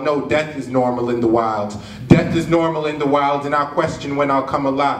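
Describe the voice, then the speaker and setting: Audible room echo and light background noise surround a man speaking at a moderate pace with ordinary pitch variation. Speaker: slam poet. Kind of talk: spoken word poetry performance. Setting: live stage, cinema venue. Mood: earnest, reflective.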